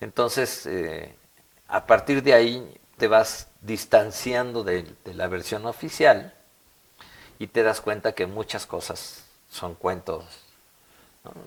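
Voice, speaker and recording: Pausing long and often, a man talks at a very slow pace and medium pitch, with ordinary pitch variation and big swings in loudness. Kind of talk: interview.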